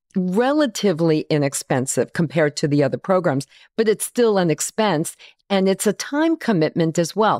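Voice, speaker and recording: Her medium-pitched voice makes very wide pitch swings as the woman talks at a moderate pace on a very clean recording with a silent background. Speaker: podcast host. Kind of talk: podcast interview. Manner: friendly, upbeat.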